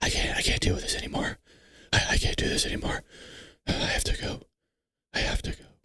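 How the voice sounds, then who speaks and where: Whispering in a raspy, put-on character voice, a man speaks very fast between long, frequent pauses. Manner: creepy; muttering.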